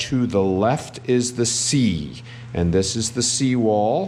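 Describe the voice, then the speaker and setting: A man at medium pitch with ordinary pitch variation, audible room echo and noticeable background noise. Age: 60s. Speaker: travel vlogger. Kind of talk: travel vlog narration. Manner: animated.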